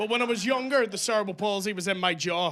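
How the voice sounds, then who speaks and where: A man speaks in a raised, projected voice with a bright, sharp tone. The recording is very clean, with a silent background. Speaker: stand-up comedian. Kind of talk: stand-up. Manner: articulate.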